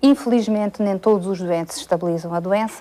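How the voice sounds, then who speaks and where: A woman speaks in a dark, mellow tone at a moderate pace. Her pitch varies in an ordinary way. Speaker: medical specialist. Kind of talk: interview. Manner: halting, many fillers.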